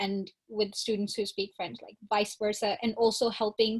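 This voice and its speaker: A woman speaks at a fairly high pitch, somewhat breathy. Her intonation stays fairly even. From northern India (Shimla). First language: not English (English is her third). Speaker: college student. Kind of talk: panel discussion.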